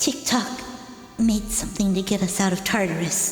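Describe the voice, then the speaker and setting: A female-sounding put-on character voice at a medium pitch and moderate pace, with clear echo and clear music in the background. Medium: audio drama. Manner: sad, shaken.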